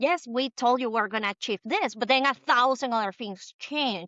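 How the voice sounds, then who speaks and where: The intonation of this woman is lively. She speaks in a high register. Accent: Spanish. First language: Spanish. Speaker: B2B digital marketer. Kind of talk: podcast interview.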